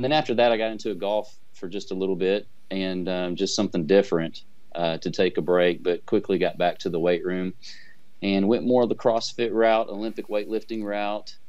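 Against a quiet background, a man talks at a fairly quick pace with ordinary pitch variation. He has a fairly low pitch and an ordinary speaking voice. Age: 40s. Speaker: amateur bodybuilder. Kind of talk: interview. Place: office. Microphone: video call.

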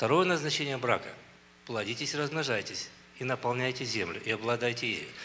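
With light background noise, a man speaks in a bright, sharp tone using ordinary pitch variation. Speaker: church minister. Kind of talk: preaching and closing prayer. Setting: church conference with audience. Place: church. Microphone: handheld.

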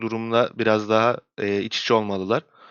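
The speaker is a man with a medium-pitched voice. He talks at a moderate pace. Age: 20s. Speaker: esports coach. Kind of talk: interview.

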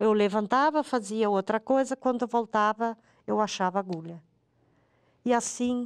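A woman's speech shows ordinary pitch variation, set against a quiet background. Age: 50s. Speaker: mother of a crash victim; interviewee. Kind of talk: testimony. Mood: grieving, emotional. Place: studio.

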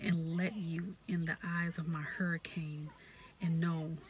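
A woman speaks in a fairly low voice with a flat, monotone delivery. Her pace is fairly slow, the sound is dry with no echo, and there is light background noise. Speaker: poetry reader, ASMR creator. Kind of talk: poetry reading. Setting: outdoors in a parked car, with background noise. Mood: warm, smiling. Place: car. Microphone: phone near.

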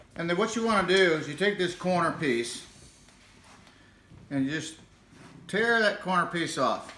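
A man with an American accent speaks at a high pitch and a moderate pace, with ordinary pitch variation. Long, frequent pauses break his speech, and the room echo is audible. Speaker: grandfather joking demonstrator. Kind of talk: comedic demonstration to camera. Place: home room. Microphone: phone near.

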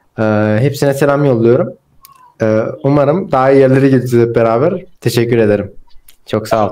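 A man talks at a fairly quick pace with long, frequent pauses, ordinary pitch variation and very even loudness. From Turkey. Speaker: student; guest. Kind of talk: casual chat. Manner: halting. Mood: warm, grateful, smiling. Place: home room. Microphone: video call.

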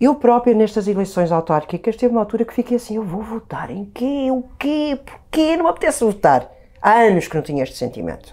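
Her voice has a dark, mellow tone and a fairly high pitch, with very wide pitch swings. The woman talks at a fairly quick pace over a quiet background. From Portugal, Viseu; Portugal. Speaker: actress; interview guest. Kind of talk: casual chat. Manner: halting. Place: studio. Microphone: lapel.

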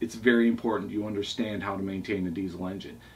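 A man speaks in a plain, everyday voice. His pitch is fairly low and his pace fairly quick. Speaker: boat owner reviewing books. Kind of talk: casual vlog chat. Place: home room. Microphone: camera far.

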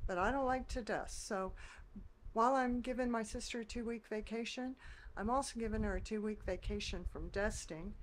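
Against light background noise, a woman speaks at a moderate pace in a high pitch with lively intonation. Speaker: vlogger. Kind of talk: casual vlog chat. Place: kitchen.

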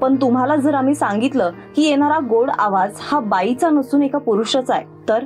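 Music plays in the background while the voice keeps a very even loudness and ordinary pitch variation. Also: woman, high pitch for a woman. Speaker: news presenter. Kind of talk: news feature narration.

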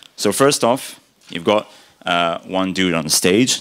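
Over a quiet background, a man speaks in a very deep, low pitch. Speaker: conference speaker. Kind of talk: conference talk. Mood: humorous, friendly. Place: hall. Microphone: podium.

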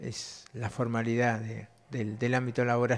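The man talks at a fairly slow pace. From Argentina, Río Negro (Cinco Saltos); Río Negro, Argentina. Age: 30s. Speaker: blind primary school teacher. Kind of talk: interview. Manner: halting, repeats words. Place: classroom. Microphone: handheld.

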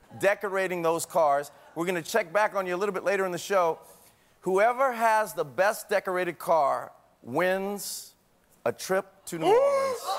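This man speaks at a moderate pace with ordinary pitch variation. His pitch is high. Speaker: talk show host. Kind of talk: TV host explanation. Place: studio. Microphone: lapel.

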